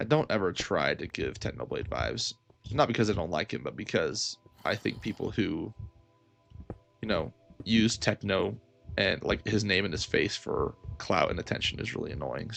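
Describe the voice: A man does a put-on character voice, gravelly and fairly low in pitch, at a moderate pace. He leaves long, frequent pauses while music plays in the background.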